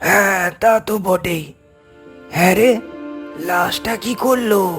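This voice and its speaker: A man puts on a raspy, cartoonish character voice pitched high and delivered at a very slow pace. Faint music plays in the background. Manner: firm, unyielding.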